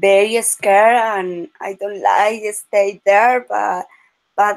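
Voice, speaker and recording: A woman with a Spanish accent, medium pitch, and a very slow pace. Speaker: language student. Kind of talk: casual chat. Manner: halting.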